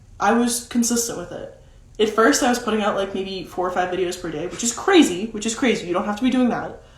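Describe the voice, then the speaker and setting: Over noticeable background noise, a woman speaks very fast at a fairly high pitch. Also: ordinary pitch variation. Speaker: social media content coach. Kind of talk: live stream talk. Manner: casual, many fillers.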